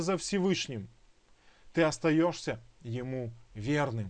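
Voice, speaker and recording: The pitch swings very widely. The background is quiet. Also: man. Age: young. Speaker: Messianic Bible teacher. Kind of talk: online Bible lesson; sermon-like exhortation.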